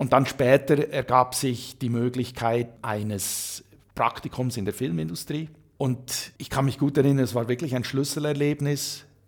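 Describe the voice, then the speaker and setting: Speaking at a fairly slow pace, a man has an ordinary speaking voice with a medium pitch and ordinary pitch variation. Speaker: author and career coach. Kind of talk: interview. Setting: hotel.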